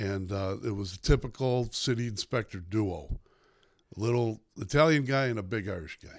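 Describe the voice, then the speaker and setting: A speaker with a Chicago accent talks at a moderate pace with ordinary pitch variation and big swings in loudness. The recording is very clean, with a silent background. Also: man, fairly low pitch for a man. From Chicago South Side. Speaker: newspaper columnist. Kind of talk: casual interview.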